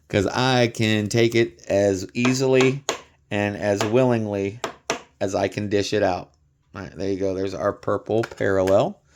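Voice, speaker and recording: Fairly low-pitched and fairly even in intonation, a man's normal speaking voice at a moderate pace. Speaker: card collecting youtuber. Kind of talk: casual unboxing video. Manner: casual, conversational with fillers.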